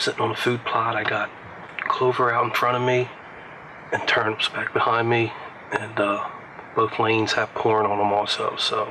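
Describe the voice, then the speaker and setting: A man speaks at a moderate pace, leaving long, frequent pauses. His loudness stays very even despite noticeable background noise. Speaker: hunting show pro-staffer. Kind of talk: hunting video self-narration. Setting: outdoors in a tree stand. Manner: casual, with filler words.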